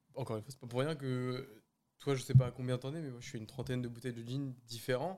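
Very fast in pace, a man talks with a dark, mellow tone and medium pitch. His intonation is fairly even, but his loudness swings widely. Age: 20s. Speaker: podcast guest. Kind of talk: casual chat.

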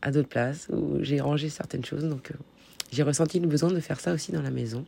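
This woman has a very deep, low pitch and ordinary pitch variation, and she talks at a fairly quick pace. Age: 30s. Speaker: podcaster and life coach. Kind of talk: personal monologue podcast. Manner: hesitant with fillers.

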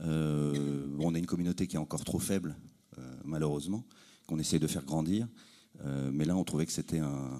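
At a fairly quick pace, a man speaks with a very deep, low pitch, a dark, mellow tone and fairly even intonation. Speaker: audience member, brand representative. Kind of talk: audience question answer. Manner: hesitant, unprepared.

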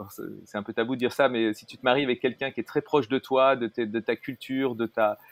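A man's medium pitch at a fairly quick pace, monotone and flat in intonation, with big swings in loudness. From Paris, France. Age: 50s. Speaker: entrepreneur, platform co-founder. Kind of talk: casual interview conversation. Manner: halting, many hesitations.

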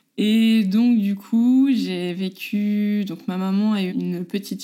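Ordinary rises and falls in pitch run through a woman's dark, mellow tone. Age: 30s. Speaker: mother sharing her story. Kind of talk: personal testimony.

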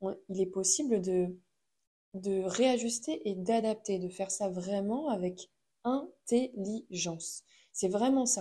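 This woman has a medium-pitched voice with a dark, mellow tone. It sounds somewhat breathy. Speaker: podcast host. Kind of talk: solo monologue podcast. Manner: hesitant with many fillers. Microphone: new microphone.

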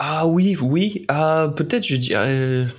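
Lively intonation marks this man's fairly high pitch. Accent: English. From US, Utah. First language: English (speaking French). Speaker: content creator. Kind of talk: interview.

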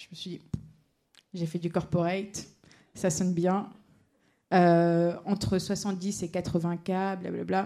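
Her voice has a dark, mellow tone at medium pitch, and this woman speaks at a very slow pace. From Paris suburbs (Seine-Saint-Denis). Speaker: legal tech project manager, lawyer. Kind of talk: panel talk.

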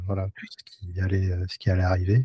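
Recorded very cleanly against a silent background, a man's fairly low, somewhat breathy voice has a dark, mellow tone and a dry, close sound with no echo. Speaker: podcast host. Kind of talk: casual chat. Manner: hesitant, many fillers.

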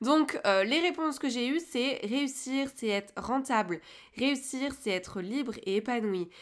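A woman talks in a high-pitched voice. Her pace is fairly slow. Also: lively intonation. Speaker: podcast host, communication coach for entrepreneurs. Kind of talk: solo podcast monologue. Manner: hesitant, many filler words.

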